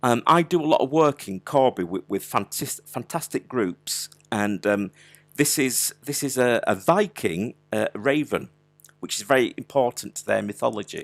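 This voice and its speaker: With a Yorkshire accent, the speaker uses lively intonation and vocal fry at a moderate pace, in a dry, close sound with no echo. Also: man, medium pitch for a man. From Yorkshire, Wakefield. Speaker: digital artist running an online workshop. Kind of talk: live art tutorial. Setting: live online video stream. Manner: casual, chatty with frequent hesitations.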